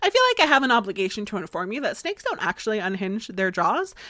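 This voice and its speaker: With an American accent, a woman speaks at a medium pitch in a bright, sharp tone, the sound dry and close with no echo on a very clean recording with a silent background. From Florida, US. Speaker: podcast host. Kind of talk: casual podcast storytelling. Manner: conversational with many fillers.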